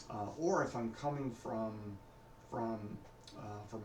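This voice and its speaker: Mumbling at a fairly slow pace, a man of medium pitch speaks with ordinary pitch variation, audible room echo and noticeable background noise. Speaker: vlogger practicing his speech. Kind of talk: personal video diary. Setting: recording alone at home on camera. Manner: hesitant, many fillers.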